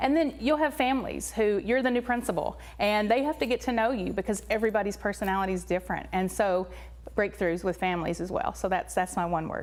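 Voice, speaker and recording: A woman with a Tennessee accent, talking at a very fast pace. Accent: Tennessee accent, persistent. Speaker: elementary school principal. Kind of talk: interview.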